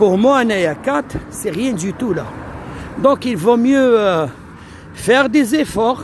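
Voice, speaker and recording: This man talks at a very slow pace in an extremely high pitch, with lively intonation, long and frequent pauses, and noticeable background noise. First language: Algerian Arabic (speaking French). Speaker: immigration advice streamer. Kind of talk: live stream Q&A. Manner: hesitant, code-switching.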